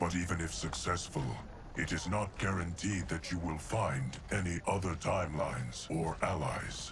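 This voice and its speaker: Against loud background noise, a man uses a put-on character voice, very deep and low, at a fairly slow pace. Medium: video game. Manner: measured, solemn.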